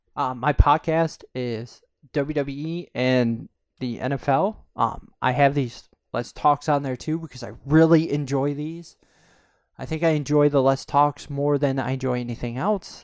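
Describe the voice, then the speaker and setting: Against a quiet background, a man with an unremarkable speaking voice talks at a fairly high pitch with fairly even intonation. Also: fairly slow pace. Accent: American. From upstate New York (Corning). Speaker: podcaster and YouTuber. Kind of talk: casual monologue, self-interview.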